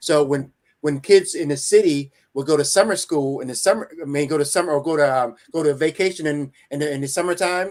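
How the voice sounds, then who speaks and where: A man with an ordinary speaking voice speaks fairly quickly, his fairly high pitch showing ordinary pitch variation. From New Jersey, early childhood in rural Virginia. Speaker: motivational speaker and coach. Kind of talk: interview.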